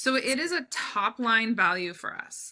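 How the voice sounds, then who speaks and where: Loud and animated, a woman speaks with a bright, sharp tone at a fairly high pitch with ordinary pitch variation. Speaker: brand strategist, business owner. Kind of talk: podcast interview.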